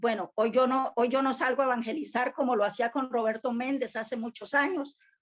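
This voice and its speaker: A woman is speaking. Her voice is high-pitched. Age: 60s. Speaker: church member, student. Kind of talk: class participation comment.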